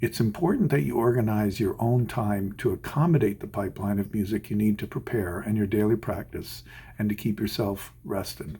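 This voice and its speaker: Speaking at a fairly quick pace with hardly any pauses, a man has a dark, mellow, somewhat breathy tone and ordinary pitch variation. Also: fairly low pitch for a man. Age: 60s. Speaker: orchestral violinist. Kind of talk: scripted advice talk. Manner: measured, formal.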